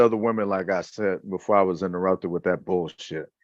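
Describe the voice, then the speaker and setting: The background stays quiet. A man talks at a moderate speed. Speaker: wrestling podcast host. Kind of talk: casual chat. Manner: animated; rhyming speech.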